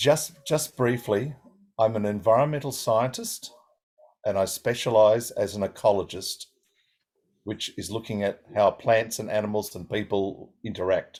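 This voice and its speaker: Moderate pace, medium pitch and ordinary pitch variation from a man with an Australian accent. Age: 60s. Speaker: environmental scientist. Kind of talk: seminar talk with consecutive interpretation. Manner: short segments, pausing for interpreter.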